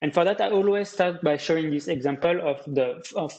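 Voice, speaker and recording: A man with a French accent at a moderate pace. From France. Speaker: data visualization specialist. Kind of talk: presentation. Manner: hesitant, many fillers.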